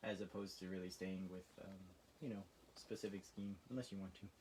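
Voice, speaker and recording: A man's fairly low voice, dark and mellow in tone. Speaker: art instructor. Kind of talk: tutorial. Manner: casual, hesitant with fillers; occasional stuttering.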